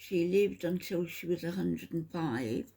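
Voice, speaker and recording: Her voice sits fairly low for a woman, yet her pitch swings very widely. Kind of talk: casual talk to camera.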